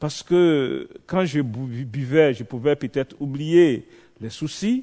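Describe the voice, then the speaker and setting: A man with a fairly high pitch and lively intonation is heard in a dry, close sound with no echo over a quiet background. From Côte d'Ivoire. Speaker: visiting preacher. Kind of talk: sermon with personal testimony. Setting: church evening vigil. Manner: animated.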